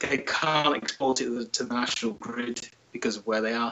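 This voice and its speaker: The man speaks at a fairly quick pace. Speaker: remote interview guest. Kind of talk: interview answer. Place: home room. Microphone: video call.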